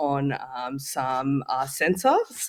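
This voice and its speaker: Male speech in an Australian accent, its pitch varying in an ordinary way. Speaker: tech startup founder. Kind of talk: interview. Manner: halting.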